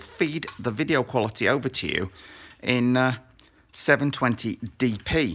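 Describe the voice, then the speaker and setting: On a very clean recording with total background silence, a man talks. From northern England, Sheffield. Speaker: RC car hobbyist youtuber. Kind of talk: live stream build tutorial. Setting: garage basement, live stream. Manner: casual, rambling with fillers.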